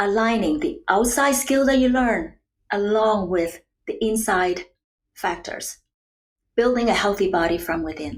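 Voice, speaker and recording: Speaking with a Chinese accent, a woman uses a fairly high pitch, very wide pitch swings and a fairly slow pace. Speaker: nutrition and wellness coach. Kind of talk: podcast interview.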